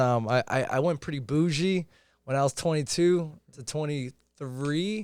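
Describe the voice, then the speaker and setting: The recording is very clean, with a silent background. A man with a Boston accent speaks in a fairly high voice with ordinary pitch variation. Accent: Boston-area American English. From Chelsea, Massachusetts (Boston area). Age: 20s. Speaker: entrepreneur in sales and investing. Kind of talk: casual podcast interview.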